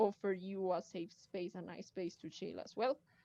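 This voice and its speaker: A woman with a Colombian accent speaks at a fairly slow pace. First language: Spanish. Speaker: cosplayer and community admin. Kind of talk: live stream group chat. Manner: hesitant, many fillers.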